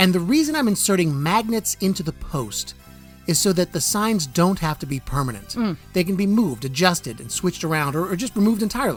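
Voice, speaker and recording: A man's high-pitched, playful voice at a very fast pace, with very wide pitch swings and music in the background. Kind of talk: casual talk to camera. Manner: playful, jokey.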